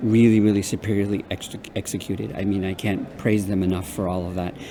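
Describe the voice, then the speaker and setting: Over noticeable background noise, a man talks at a fairly low pitch with fairly even intonation. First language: Spanish. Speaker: undergraduate research coordinator. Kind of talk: interview. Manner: halting, many fillers and repeats.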